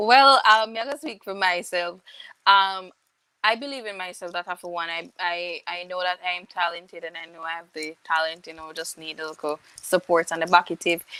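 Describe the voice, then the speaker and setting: A woman speaks in a Jamaican accent with a bright, sharp tone and fairly low pitch, at a moderate pace with ordinary pitch variation. Her loudness swings widely, and the sound is dry and close with no echo. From Jamaica, St. Catherine. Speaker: reggae singer. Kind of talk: interview.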